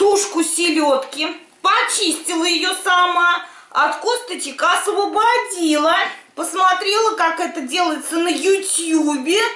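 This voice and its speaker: A woman speaks very slowly in a raised, projected voice with a bright, sharp tone and ordinary pitch variation, amid audible room echo. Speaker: home cooking vlogger. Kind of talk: casual cooking tutorial chat. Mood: cheerful, humorous. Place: kitchen. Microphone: camera far.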